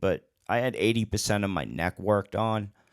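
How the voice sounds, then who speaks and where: A man speaks with vocal fry. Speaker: DJ and online show host. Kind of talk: casual monologue answering chat questions. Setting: live stream with chat. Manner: halting, gets stuck on words; slower than he used to talk.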